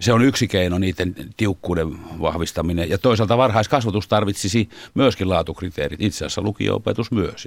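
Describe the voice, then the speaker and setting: A man speaks at a fairly quick pace in a normal speaking voice, his pitch fairly low with ordinary variation. The recording is very clean, with a silent background. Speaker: teachers' union chairman. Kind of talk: studio interview. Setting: studio.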